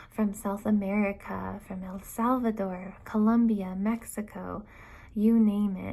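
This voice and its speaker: Soft-spoken and somewhat breathy, a woman talks in a calm, dark, mellow tone at a fairly slow pace, her intonation monotone and flat. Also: medium pitch for a woman, big swings in loudness. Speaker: elementary school teacher. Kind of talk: prepared video statement. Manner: calm, soft-spoken.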